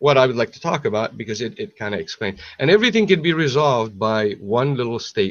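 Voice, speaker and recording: A man at a medium pitch with an Arabic accent, fairly quick pace and very wide pitch swings. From Syria, Aleppo. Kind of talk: casual chat. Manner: halting, many repetitions.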